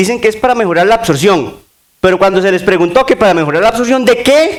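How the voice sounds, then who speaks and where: A man talks at a fairly quick pace, his pitch swinging very widely up and down. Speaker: sports nutrition speaker. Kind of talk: conference talk. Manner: fast.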